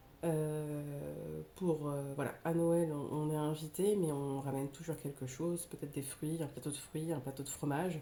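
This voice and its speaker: Speaking at a fairly slow pace with hardly any pauses, a woman uses a very deep, low pitch and a monotone, flat intonation. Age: 30s. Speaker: budget vlogger. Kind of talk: casual talk to camera. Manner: hesitant, many filler sounds.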